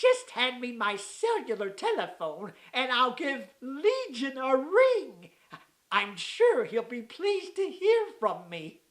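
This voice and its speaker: This cartoonish character voice sits at a high pitch and moves at a fairly slow pace. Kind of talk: old-fashioned formal diction. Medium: puppet show. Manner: pompous, genteel.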